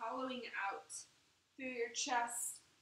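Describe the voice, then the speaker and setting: A woman speaks at a very slow pace in a bright, sharp tone. There is audible room echo and light background noise. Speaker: yoga instructor. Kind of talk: guided yoga instruction. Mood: calm, soothing. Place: home room. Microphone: camera far.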